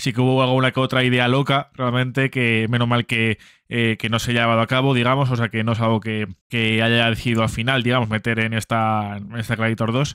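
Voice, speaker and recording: A man speaks fairly quickly in a monotone with flat intonation, the sound dry with no echo and the background quiet. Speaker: film reaction youtuber. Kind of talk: casual commentary before trailer reaction. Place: home room. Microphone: studio mic.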